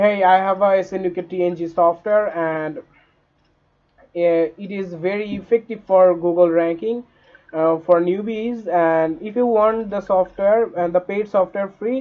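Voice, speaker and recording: A man with a non-native accent speaks in a high voice. His pace is fairly slow and his intonation fairly even. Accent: non-native English, says it is glitchy. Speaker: online money-making tutor. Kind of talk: tutorial. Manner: halting, many fillers.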